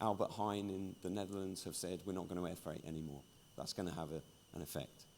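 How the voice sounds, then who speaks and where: With a British accent, a man talks at a very deep, low pitch with ordinary pitch variation. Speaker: industry journalist and conference speaker. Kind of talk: conference keynote talk.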